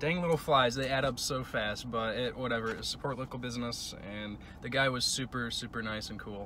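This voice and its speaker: A man at a moderate pace, dry sound with no echo, and light background noise. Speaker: travel vlogger. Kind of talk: casual vlog chat. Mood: relaxed, upbeat. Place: car. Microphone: phone near.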